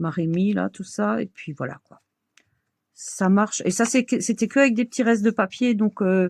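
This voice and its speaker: A woman at a medium pitch and moderate pace, with ordinary pitch variation, big swings in loudness, and a dry, close sound with no echo. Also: very clean recording, silent background. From Alsace, France. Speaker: crafts video creator. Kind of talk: tutorial. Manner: casual, hesitant with fillers.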